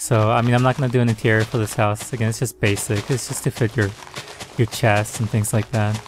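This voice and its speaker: Music plays in the background as a man mumbles at a very fast pace. His medium-pitched voice is monotone and flat. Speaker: gaming video creator. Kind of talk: tutorial. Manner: trails off and mumbles; gets softer, casual and hesitant.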